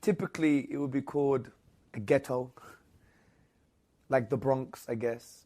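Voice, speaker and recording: Recorded very cleanly against a silent background, a man with a London accent speaks at a medium pitch and a moderate pace, with ordinary pitch variation. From England, London. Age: 30s. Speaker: Islamic apologist. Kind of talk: interview.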